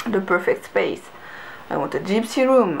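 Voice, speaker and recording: A woman with a non-native accent speaks with lively intonation over noticeable background noise. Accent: non-native accent, getting lighter. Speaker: creative vlogger and artist. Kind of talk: casual vlog monologue. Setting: home bedroom.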